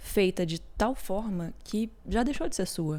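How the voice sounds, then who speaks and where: A woman talks in a dark, mellow tone. Her pitch variation is ordinary. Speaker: podcast host. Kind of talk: personal reflective podcast talk.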